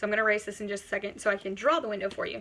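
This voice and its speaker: Loud and bright with a sharp tone, a woman speaks at a fairly high pitch. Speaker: college instructor. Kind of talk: lecture. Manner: animated.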